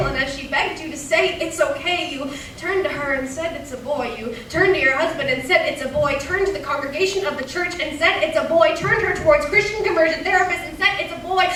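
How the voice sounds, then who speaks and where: Words rush out at a very fast pace with hardly any pauses and ordinary pitch variation over noticeable background noise. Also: woman, extremely high pitch for a woman. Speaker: slam poet. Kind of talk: slam poetry performance. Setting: live stage in a cinema.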